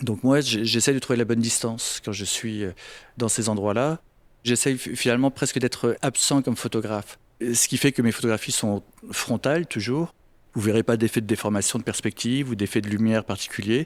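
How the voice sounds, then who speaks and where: A medium-pitched man at a moderate pace, fairly even in intonation, with a dry, close sound and no echo. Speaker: photographer. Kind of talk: interview answer. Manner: soft-spoken.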